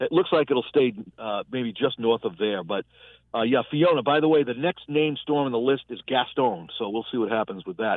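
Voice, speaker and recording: A man speaks at a moderate pace in an ordinary speaking voice, medium in pitch, with lively intonation. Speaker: meteorologist. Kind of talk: weather forecast.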